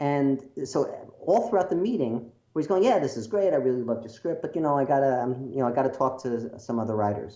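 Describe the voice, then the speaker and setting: With an American accent, a man talks very fast at a medium pitch, his intonation lively. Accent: Brooklyn accent, mostly suppressed, slips out. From New York, Brooklyn. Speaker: screenwriter. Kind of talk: interview storytelling. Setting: video call. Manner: animated.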